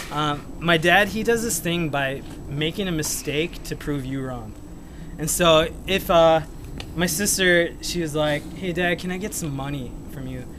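A man at a fairly slow pace with ordinary pitch variation, over noticeable background noise. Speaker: amateur comedian. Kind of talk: stand-up storytelling. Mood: nervous, laughing. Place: street. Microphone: phone near.

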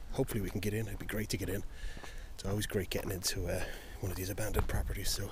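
A man talking at a very fast clip, dry sound with no echo, noticeable background noise behind him. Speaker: urban explorer vlogger. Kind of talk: casual vlog chat. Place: open country. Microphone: phone near.

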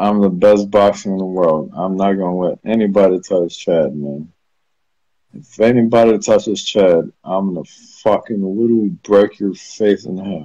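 A man's fairly low, dark and mellow voice with ordinary pitch variation, the sound dry with no echo against a quiet background. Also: moderate pace. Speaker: live streamer. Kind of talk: casual live stream chat. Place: home room. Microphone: phone near.

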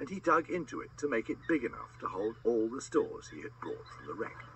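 With noticeable background noise around him, a man delivers his words at a fairly quick pace. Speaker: audiobook narrator. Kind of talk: children's audiobook narration, scripted storytelling. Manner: animated, dramatic, voices characters with changes in pitch for dialogue.

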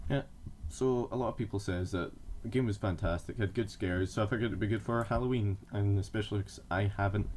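A man talks at a fairly quick pace, somewhat breathy. Light background noise can be heard. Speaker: gamer. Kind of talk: gameplay commentary. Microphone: webcam.

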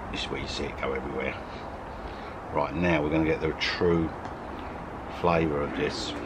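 There is noticeable background noise behind this man. He talks at a fairly quick pace. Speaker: food reviewer. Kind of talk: casual vlog chat. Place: garden.

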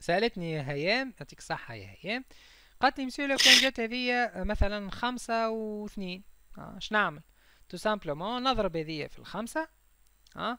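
A man with a Tunisian accent projects a raised, bright, sharp voice at a high pitch and moderate pace, with very wide pitch swings. The recording is very clean, with a silent background. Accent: Tunisian Arabic with French code-switching. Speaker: chemistry teacher. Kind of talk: lecture.

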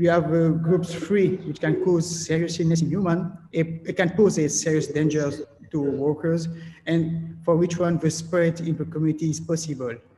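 A man speaks at a moderate pace in a dark, mellow tone with monotone, flat intonation over light background noise. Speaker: presenter. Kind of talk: lecture. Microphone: webcam.

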